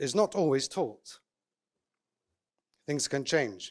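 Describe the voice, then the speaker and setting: On a very clean recording with a silent background, a man with an English accent sounds dry and close, with no echo. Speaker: eruv coordinator and contractor. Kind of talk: conference talk. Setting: conference with audience.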